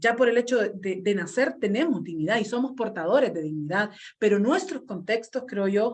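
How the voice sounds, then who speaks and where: This woman has a plain, everyday voice with a fairly high pitch. She talks at a moderate pace with lively intonation. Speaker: community radio worker. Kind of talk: conference panel talk.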